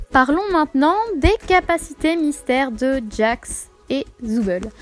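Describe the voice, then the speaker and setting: A woman's high-pitched voice comes through clear background noise. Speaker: video essayist, fan theorist. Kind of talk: video essay on fan theories. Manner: hesitant, many filler sounds.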